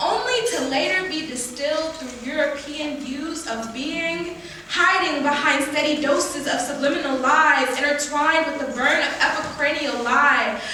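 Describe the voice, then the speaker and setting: A woman with a high pitch and a raised, projected voice speaks at a moderate pace with fairly even intonation and hardly any pauses, amid noticeable background noise. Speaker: spoken word poet. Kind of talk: spoken word poetry performance. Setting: live stage showcase.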